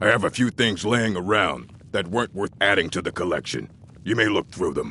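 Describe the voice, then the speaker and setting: In a put-on character voice, a man talks at a fairly quick pace with a fairly low pitch. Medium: video game. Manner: gruff, blunt.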